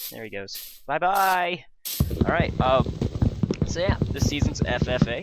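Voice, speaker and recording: Noticeable noise sits in the background. Over it, a man talks with lively intonation. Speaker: gaming YouTuber. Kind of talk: gameplay commentary. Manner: casual, hesitant with fillers.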